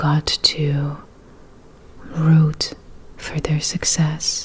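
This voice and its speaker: A soft-spoken woman with a very deep, low pitch talks over noticeable background noise. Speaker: ASMR creator. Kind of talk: ASMR personal attention talk to help relax and sleep. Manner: soft-spoken, calm.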